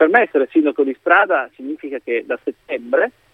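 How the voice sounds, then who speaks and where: A man talks at a fairly quick pace and a fairly high pitch, with ordinary pitch variation. He has an unremarkable speaking voice. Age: 40s. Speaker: politician. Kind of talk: radio interview.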